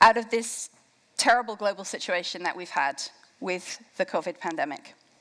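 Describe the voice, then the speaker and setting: A woman with an English accent and a bright, sharp tone, on a very clean recording against a silent background. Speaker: campaign co-founder. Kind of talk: keynote speech. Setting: stage with audience.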